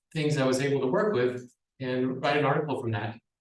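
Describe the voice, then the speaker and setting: The voice belongs to a man. He speaks with an American accent. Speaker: university lecturer. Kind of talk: conference presentation. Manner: fast.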